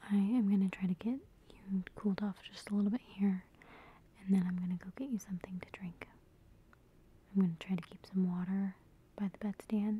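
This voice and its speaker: Soft-spoken and somewhat breathy, a woman talks at a fairly quick pace with a gentle tone, fairly even intonation and a dry sound with no echo. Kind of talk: soft-spoken role-play, addressing the viewer. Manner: soft-spoken, gentle caring murmur. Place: home room. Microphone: phone near.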